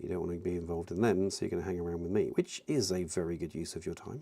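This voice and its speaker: Someone with a British accent talks at a very fast pace. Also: man. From UK. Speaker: miniature painting streamer. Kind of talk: casual live-stream chat while painting. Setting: live stream.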